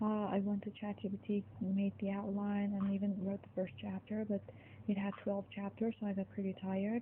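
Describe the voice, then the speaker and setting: A woman speaks at a moderate pace and a medium pitch. She talks with a non-native accent. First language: not English. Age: 20s. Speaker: gaming streamer. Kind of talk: casual chat. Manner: rambling casual.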